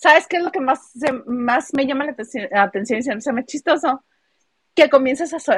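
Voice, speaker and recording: A woman with a strong northern Mexican accent speaks in a high pitch with lively intonation. The sound is dry and close, with no echo. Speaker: podcast co-host. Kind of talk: casual chat.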